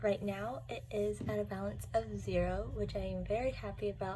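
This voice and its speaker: There is audible room echo as a woman speaks. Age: 20s. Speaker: budgeting vlogger. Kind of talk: casual tutorial vlog.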